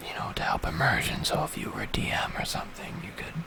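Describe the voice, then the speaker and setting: Whispering comes through with noticeable background noise behind it. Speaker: ASMR creator. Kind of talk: ASMR book page-through. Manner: whispered, soft-spoken.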